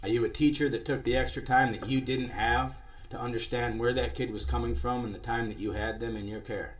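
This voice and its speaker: With an American accent, a man talks at a fairly quick pace. Room echo is audible. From US Midwest. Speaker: musician and live show host. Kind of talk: live stream monologue. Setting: live internet stream.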